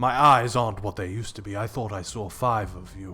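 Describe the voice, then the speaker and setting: Putting on a character voice, a man speaks at a fairly quick pace with a fairly low pitch, fairly even intonation and big swings in loudness. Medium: actual play. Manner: courteous, gentle.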